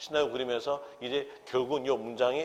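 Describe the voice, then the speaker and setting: In a room with audible echo, a man speaks at a fairly quick pace with a medium pitch and ordinary pitch variation. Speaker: real estate tax law instructor. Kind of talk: lecture.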